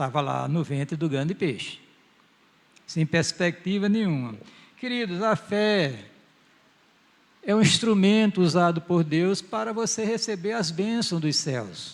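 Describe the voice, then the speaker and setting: With a high pitch and lively intonation, a man speaks at a fairly slow pace. He takes long, frequent pauses. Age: 70s. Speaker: pastor. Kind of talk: sermon. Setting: church.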